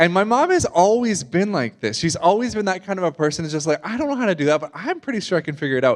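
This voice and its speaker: Very fast speech with a slight Canadian accent and very wide pitch swings. The background is quiet. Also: man. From Canada. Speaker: guest preacher. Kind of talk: sermon. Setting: church service with congregation. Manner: casual, conversational with fillers.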